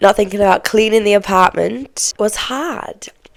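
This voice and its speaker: Speaking with an English accent, the woman keeps to a moderate pace. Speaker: podcast host. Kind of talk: casual chat. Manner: conversational, chatty.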